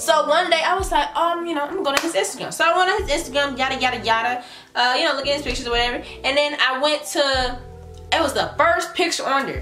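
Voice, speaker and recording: A woman speaks at a very fast pace in a raised, projected voice. The room echo is audible, and faint music plays in the background. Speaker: vlogger. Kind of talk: casual vlog chat. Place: home room. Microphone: camera far.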